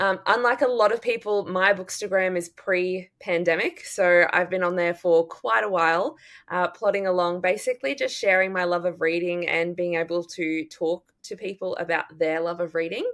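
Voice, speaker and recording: Recorded very cleanly with a silent background, a woman speaks at a medium pitch and a moderate pace, with ordinary pitch variation and hardly any pauses. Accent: Australian. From Australia. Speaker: drama teacher and book podcaster. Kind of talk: casual chat.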